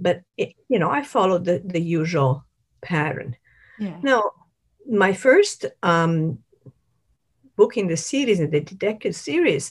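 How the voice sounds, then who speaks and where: Somewhat breathy, a woman speaks at a fairly slow pace with very wide pitch swings. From Italy. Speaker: novelist. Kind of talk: interview. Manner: halting.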